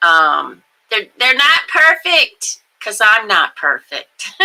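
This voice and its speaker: A woman talking at a very slow pace. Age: old. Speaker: livestream host. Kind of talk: casual chat. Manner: halting.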